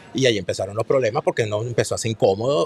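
A man talks in a Venezuelan accent, recorded with a dry, close sound and no echo. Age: 40s. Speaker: political commentator and author. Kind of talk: casual chat. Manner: animated.

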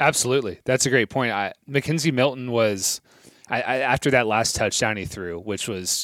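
In a very clean recording with a silent background, a man with a normal speaking voice talks at a fairly quick pace, medium in pitch with ordinary pitch variation. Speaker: podcast host. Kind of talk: casual interview.

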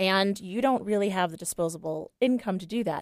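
In an unremarkable speaking voice, a woman talks at a medium pitch and moderate pace, with a dry, close sound and no echo. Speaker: style consultant. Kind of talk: casual chat. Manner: bubbly, teasing, talkative.

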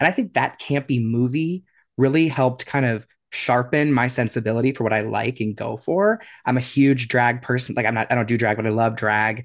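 A man talks fairly quickly in a normal speaking voice. His pitch is medium, with ordinary pitch variation. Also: quiet background. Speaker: podcast co-host, guest. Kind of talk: casual interview chat.

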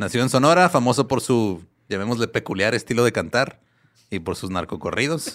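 In an unremarkable speaking voice, a man talks fairly quickly at a medium pitch with lively intonation. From Ciudad Juárez, Mexico. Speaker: music podcast guest. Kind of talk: storytelling.

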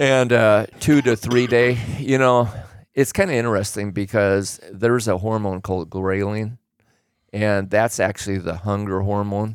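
With an American accent and a plain, everyday voice, a man of fairly low pitch speaks at a moderate pace with fairly even intonation on a very clean recording with a silent background. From Oregon. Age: 60s. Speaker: host's father, fitness enthusiast. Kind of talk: casual chat.

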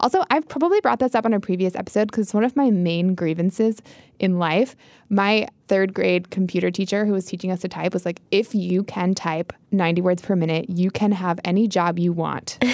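A woman with an ordinary speaking voice talks at a medium pitch, her pitch varying in an ordinary way and her loudness staying very even. The recording is very clean with a silent background. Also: fairly quick pace. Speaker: podcast host. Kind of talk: casual chat.

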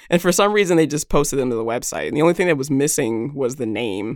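Captured in a very clean recording with a silent background, a woman with an American accent speaks at a very deep, low pitch. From United States. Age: 30s. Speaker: tech founder. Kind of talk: interview.

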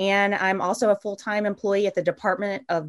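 At a fairly quick pace, a woman with a medium-pitched, unremarkable speaking voice talks in a dry, close sound with no echo. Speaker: podcast host. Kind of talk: casual interview conversation.

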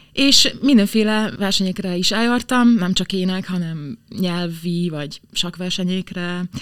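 Her voice is a normal speaking voice at medium pitch, with ordinary pitch variation. The woman talks at a fairly slow pace. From southern Slovakia (Hungarian minority). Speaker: opera singer. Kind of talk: interview.

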